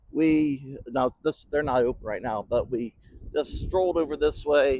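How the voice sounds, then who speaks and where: An ordinary speaking voice. It moves at a fairly slow pace. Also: man. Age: 60s. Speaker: business podcast host. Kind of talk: motivational podcast monologue. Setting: bowling center.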